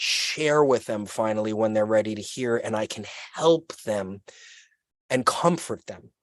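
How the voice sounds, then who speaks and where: A man at a fairly slow pace, quiet background. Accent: Brooklyn. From New York City (Brooklyn). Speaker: podcast guest, activist. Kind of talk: casual chat. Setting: outdoors, video call. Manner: loud; animated.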